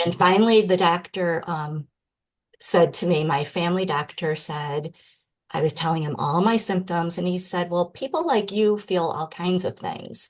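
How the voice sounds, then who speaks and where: Against a quiet background, a woman speaks with a Michigan accent. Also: fairly low pitch for a woman, ordinary pitch variation, moderate pace. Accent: American (Michigan). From Michigan, US. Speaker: podcast guest, person with MS. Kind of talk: interview testimony.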